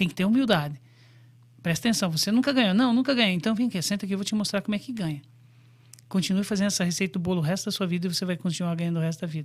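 Talking at a very fast pace, a man with a high-pitched voice leaves long, frequent pauses. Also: ordinary pitch variation. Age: 50s. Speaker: forex trader and brokerage CEO. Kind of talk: interview.

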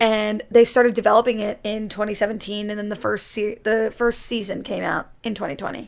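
At a fairly quick pace with hardly any pauses, a woman with an ordinary speaking voice talks at a fairly high pitch and with fairly even intonation. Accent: American. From Connecticut, US. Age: 20s. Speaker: YouTuber and drama student. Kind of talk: casual chat.

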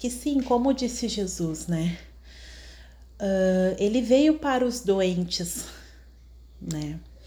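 A woman speaks very slowly with a Brazilian accent, leaving long, frequent pauses. Room echo is audible. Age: 30s. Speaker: podcaster. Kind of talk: personal testimony monologue. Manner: halting, many fillers.

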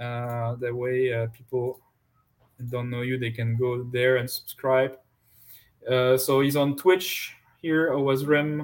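In a French accent, a medium-pitched man speaks at a very slow pace with monotone, flat intonation and long, frequent pauses. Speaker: podcast host. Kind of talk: casual chat.

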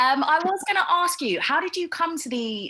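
A woman's raised, projected voice in a British accent, bright and sharp in tone, with very wide pitch swings. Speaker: podcast host. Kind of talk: interview.

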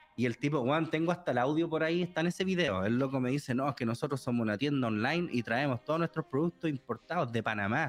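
With a Chilean accent, a man talks at a very fast pace with hardly any pauses, his fairly high pitch showing ordinary variation and his loudness very even, in a dry, close sound with no echo. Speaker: translator, streamer and youtuber. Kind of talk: casual chat.

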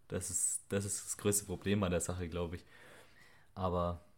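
In a very clean recording with a silent background, a man speaks with a very deep, low pitch and flat, monotone intonation. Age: 20s. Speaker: podcast co-host, electronics technician and online fitness coach. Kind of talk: casual chat.

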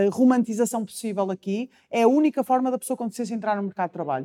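In a very clean recording with a silent background and a dry, close sound with no echo, a woman speaks with an ordinary speaking voice at a fairly high pitch with ordinary pitch variation. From Portugal, Porto. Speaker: nutritionist and public speaker. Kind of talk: interview testimony.

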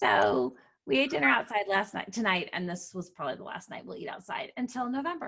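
A woman with a medium pitch speaks at a fairly quick pace, her tone bright and sharp with vocal fry. Her pitch swings very widely and her loudness shifts a lot. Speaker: podcast host. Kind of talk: casual chat about books.

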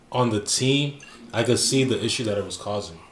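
The man's medium-pitched voice shows ordinary pitch variation. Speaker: podcast host. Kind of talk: heated argument, friends bantering about football. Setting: studio. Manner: loud, fast, overlapping talk, animated and combative.

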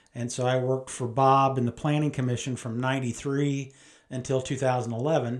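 Talking at a fairly quick pace in a Midwestern American accent, a man keeps a medium pitch and a monotone, flat intonation. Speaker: mayor. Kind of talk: conversational interview.

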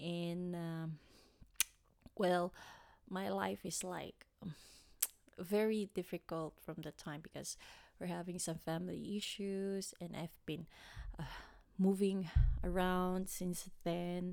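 Very slow and broken by long, frequent pauses, a woman's fairly low voice keeps a monotone, flat intonation on a very clean recording with a silent background. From Philippines, Manila area. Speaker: podcast host. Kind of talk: personal storytelling monologue. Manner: halting, many fillers.

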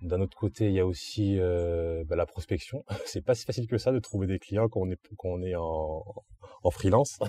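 Over noticeable background noise, a man with a very deep, low voice talks at a moderate pace with ordinary pitch variation. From southern France, Antibes. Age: 20s. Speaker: graphic artist. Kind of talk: interview. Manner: hesitant with fillers.

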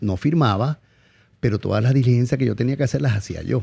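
With a Zulian accent, a man speaks in a dark, mellow, somewhat breathy tone with lively intonation. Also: quiet background. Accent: Venezuelan Zulian (maracucho) Spanish. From Venezuela, Maracaibo (Zulia). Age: 50s. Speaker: chef. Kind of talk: casual interview. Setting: studio.

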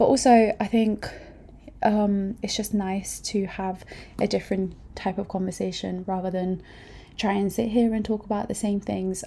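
In a very clean recording with a silent background, a woman with a medium pitch and a dark, mellow tone speaks in a somewhat breathy, monotone, flat way. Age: 20s. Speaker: podcast host. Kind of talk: casual monologue. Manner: hesitant, many fillers.

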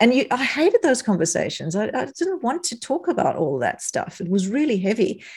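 With a South African accent, a woman talks in a high pitch with very wide pitch swings and hardly any pauses. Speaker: psychologist turned non-alcoholic drinks business owner. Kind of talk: casual interview.

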